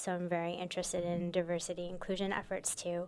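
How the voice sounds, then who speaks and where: Over a very clean recording with a silent background, a woman talks with an American accent. Her pitch is medium and her pace fairly quick. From Michigan, US Midwest. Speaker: immigration lawyer and advocacy director. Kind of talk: radio interview. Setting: radio studio.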